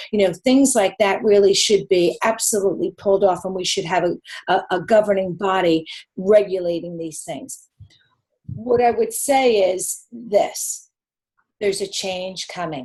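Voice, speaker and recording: With a New York accent, a woman speaks in an animated tone at a medium pitch with ordinary pitch variation. Her pace is fairly slow, and her loudness swings widely. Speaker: nutritionist. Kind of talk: live webinar Q&A answer.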